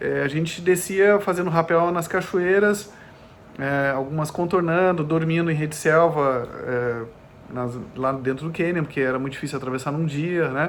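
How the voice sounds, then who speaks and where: Here a man speaks at a moderate pace, his pitch fairly high. Audible room echo surrounds the voice. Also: ordinary pitch variation. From southern Brazil (Gravataí, Porto Alegre area), partly Germany. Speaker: ultramarathon runner. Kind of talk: podcast interview. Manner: halting, many fillers.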